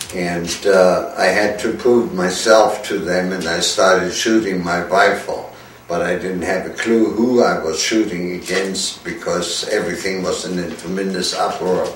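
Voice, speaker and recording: A man with a German accent, very deep and low in pitch, flat monotone at a fairly slow pace with hardly any pauses, amid noticeable background noise and audible room echo. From Germany. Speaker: war veteran. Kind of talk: testimony. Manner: halting.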